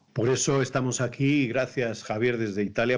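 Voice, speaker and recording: The speaker is a man with a Spanish accent. Little can be heard behind him. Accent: Spanish (Spain). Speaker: priest, program host. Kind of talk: online talk show interview.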